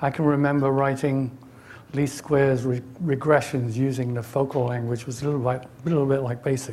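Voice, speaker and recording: A man in an English accent, medium pitch and monotone, flat intonation at a fairly quick pace, with audible room echo. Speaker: technologist giving a conference talk. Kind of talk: conference presentation. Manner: hesitant, many fillers.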